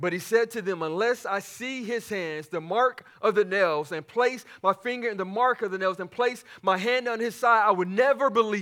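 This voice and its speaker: In a passionate, bright and sharp tone, a man speaks at high pitch and a moderate pace, with ordinary pitch variation and hardly any pauses, on a very clean recording with a silent background. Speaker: pastor. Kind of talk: sermon. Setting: church. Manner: passionate, preacher in full flow, emphatic repetition.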